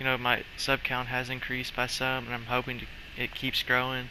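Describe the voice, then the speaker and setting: A medium-pitched man at a moderate pace, with noticeable background noise. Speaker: gaming YouTuber. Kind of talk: gameplay commentary. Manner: casual rambling; stuttering at times.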